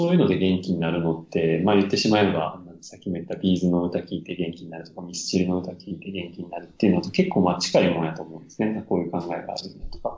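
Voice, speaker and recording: A man with a Kansai accent talks at a very fast pace in a very deep, low pitch. His intonation is monotone and flat, while his loudness swings widely. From Japan, Amagasaki (Kansai). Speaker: acupuncturist running a clinic abroad. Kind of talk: casual interview chat.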